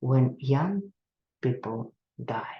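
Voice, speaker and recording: A woman's somewhat breathy voice, dark and mellow in tone, with a Russian accent. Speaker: psychotherapist. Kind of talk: lecture. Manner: halting.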